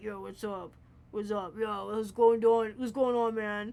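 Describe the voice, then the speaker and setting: Using a put-on character voice, a man speaks in a high pitch at a fairly slow pace. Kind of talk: casual gamer slang.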